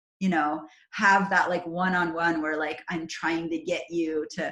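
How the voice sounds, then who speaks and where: The speaker has an animated tone and a somewhat breathy sound, moving at a fairly slow pace. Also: woman. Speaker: network marketing trainer. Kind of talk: online training call.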